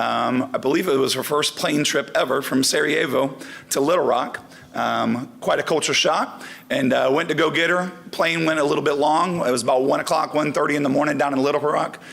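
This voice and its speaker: Through noticeable background noise, a man speaks at a fairly quick pace with a fairly high pitch, fairly even intonation and very even loudness. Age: 40s. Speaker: volleyball coach. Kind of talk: award ceremony speech.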